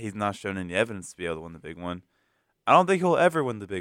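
Speaking with an American accent, a man with a fairly low pitch and a bright, sharp tone uses lively intonation, in a very clean recording with a silent background. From US South. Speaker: sports talk co-host. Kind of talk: casual sports banter.

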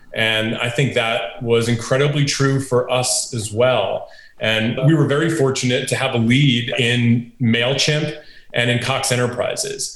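A man speaks at a fairly slow pace in an American accent, his medium-pitched voice flat and monotone. The recording has audible room echo and noticeable background noise. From upstate New York. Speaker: venture capitalist. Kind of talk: interview.

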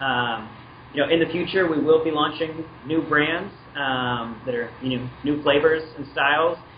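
A man with an American accent speaks with fairly even intonation over noticeable background noise. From Washington State. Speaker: brand manager. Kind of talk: interview over a phone call.

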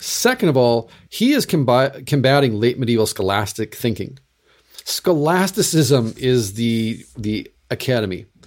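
An unremarkable speaking voice moves at a fairly slow pace with lively intonation, captured on a very clean recording with a silent background. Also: man, medium pitch for a man. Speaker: Lutheran pastor and podcast host. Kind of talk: casual chat.

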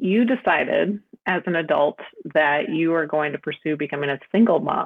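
Using a normal speaking voice, a woman talks at a moderate pace with a fairly low pitch and lively intonation. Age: 30s. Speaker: interviewer, friend of storyteller. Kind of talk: interview questions. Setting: call.

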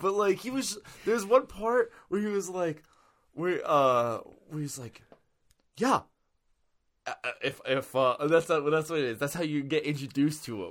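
Loud and fairly high-pitched, a man swings his pitch very widely and leaves long, frequent pauses in a very clean recording with a silent background. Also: moderate pace. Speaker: podcast host. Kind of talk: casual chat.

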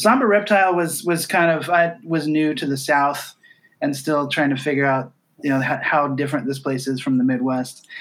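Here is a man with an American accent and an ordinary speaking voice. His pitch is fairly high, with ordinary variation, and he talks at a moderate pace. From southwest Iowa. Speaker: music writer, podcast co-host. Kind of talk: casual interview chat.

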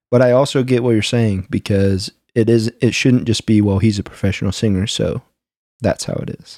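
This man's medium-pitched voice has a dark, mellow tone and fairly even intonation, yet its loudness swings widely. The recording is very clean, with a silent background. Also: moderate pace, dry, close sound with no echo. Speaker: podcast co-host. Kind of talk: casual conversational chat. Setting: video recording, in person with co-host.

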